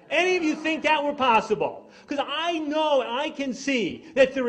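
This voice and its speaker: An American-accented man speaks in an animated tone over noticeable background noise. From New York. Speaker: drug policy activist. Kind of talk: speech. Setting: stage with audience. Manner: fast.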